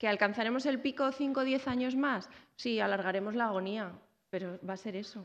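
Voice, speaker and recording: Over a quiet background, a woman with a fairly high pitch talks at a fairly quick pace with ordinary pitch variation. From Zaragoza, Spain; Spain. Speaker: researcher and university lecturer; university lecturer. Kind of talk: lecture. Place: hall. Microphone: podium.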